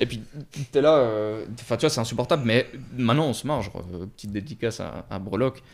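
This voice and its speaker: Fairly quick speech from a man at a medium pitch, with ordinary pitch variation, big swings in loudness and long, frequent pauses, in a very clean recording with a silent background. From Switzerland, Lausanne area. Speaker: vintage watch dealer. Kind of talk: casual interview chat. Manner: halting, many fillers.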